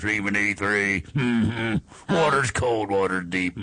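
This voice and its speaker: A man's gruff, put-on character voice, fairly low in pitch. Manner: slow, low drawl.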